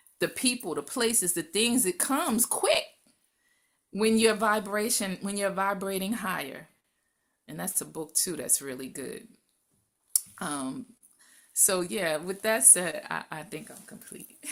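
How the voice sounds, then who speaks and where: A woman's medium-pitched voice at a fairly slow pace, lively in intonation, with big swings in loudness and long, frequent pauses, in a very clean recording over a silent background. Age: 60s. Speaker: wellness panel guest. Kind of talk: panel discussion. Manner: animated.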